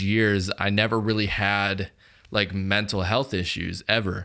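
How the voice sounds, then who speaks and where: A man's fairly low voice with a bright, sharp tone. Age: 20s. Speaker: podcast host; photographer. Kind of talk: casual chat. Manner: casual, filler-heavy.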